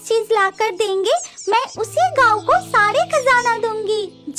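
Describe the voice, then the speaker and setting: A female-sounding cartoonish character voice talks at an extremely high pitch and a fairly slow pace. Loud music plays in the background. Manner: earnest, storybook.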